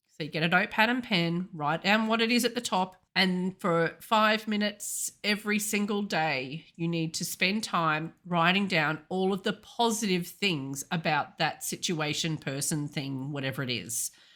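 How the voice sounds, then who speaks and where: With an Australian accent and lively intonation, a woman of medium pitch speaks at a moderate pace on a very clean recording with a silent background. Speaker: intuitive healer and coach. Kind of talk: podcast talk.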